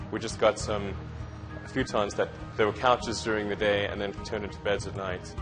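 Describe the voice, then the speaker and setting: Over music in the background, a man with a fairly low voice talks at a fairly quick pace with fairly even intonation. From South Africa. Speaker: entrepreneur. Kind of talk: interview answer.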